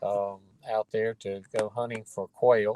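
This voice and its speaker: The recording sounds dry and close, with no echo. A man with a North Carolina accent talks fairly slowly at a fairly low pitch. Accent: Southern US (North Carolina). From US South, North Carolina (Durham). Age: 70s. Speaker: retired lawyer, theory creator. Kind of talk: interview. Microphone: phone line, quality drops out.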